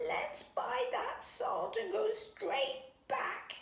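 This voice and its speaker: A put-on character voice at an extremely high pitch, very slow pace, and slight echo. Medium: read story. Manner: quacky, excitable.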